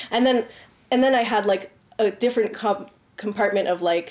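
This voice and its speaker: A woman speaks with a Canadian accent at a medium pitch and fairly even intonation. Noticeable background noise runs under her voice. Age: 30s. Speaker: dancer and artist. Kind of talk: casual chat.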